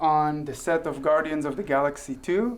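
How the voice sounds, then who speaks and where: A man with an Israeli accent speaks at a fairly slow pace, with ordinary pitch variation. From Israel (southern kibbutz). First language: Hebrew. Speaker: guest, former soldier and actor. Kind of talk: interview. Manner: hesitant, many fillers.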